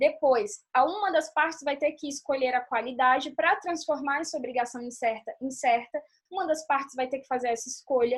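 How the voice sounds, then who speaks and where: This woman's voice is high in pitch with ordinary variation. She keeps a moderate pace. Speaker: law teacher. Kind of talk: online lecture.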